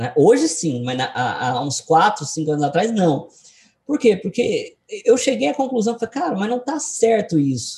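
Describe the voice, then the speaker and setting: The speech moves at a fairly slow pace. Its pitch swings very widely. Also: man, high pitch for a man. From Goiás, Brazil (Goiânia). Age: 20s. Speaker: day trader and trading educator. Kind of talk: interview. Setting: video call.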